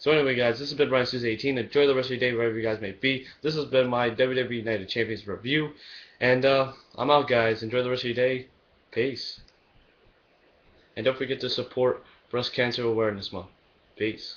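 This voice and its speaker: A man with medium pitch and fairly even intonation moves at a fairly quick pace, broken by long, frequent pauses. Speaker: wrestling vlogger. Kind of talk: casual video review. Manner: fast; hesitant, filler words.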